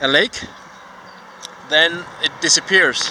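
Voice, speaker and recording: A man with a Danish accent talks over noticeable background noise. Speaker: vlogger. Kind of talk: casual vlog monologue. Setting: outdoors while cycling. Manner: halting, many fillers.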